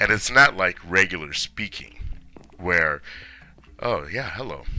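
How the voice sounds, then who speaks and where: Bright, sharp tone from a man, fairly slow, ordinary pitch variation. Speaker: video creator and teacher. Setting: speaking into a microphone. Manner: projected, stronger than normal speech.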